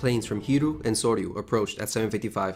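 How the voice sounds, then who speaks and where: Very fast speech from a fairly low-pitched man, with ordinary pitch variation and music in the background. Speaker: history video narrator. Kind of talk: history documentary narration.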